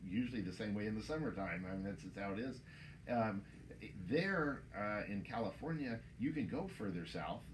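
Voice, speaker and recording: A man with an American accent speaks at a moderate pace, his pitch fairly low and his intonation lively. The room echo is audible, and background noise is noticeable. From Texas. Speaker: winemaker. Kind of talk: interview. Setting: in a store.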